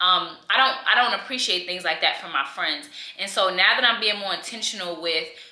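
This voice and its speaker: A woman speaks at a moderate pace with lively intonation. Audible room echo and noticeable background noise surround her voice. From New York. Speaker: lifestyle vlogger. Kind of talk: casual chat. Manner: animated, conversational with many fillers.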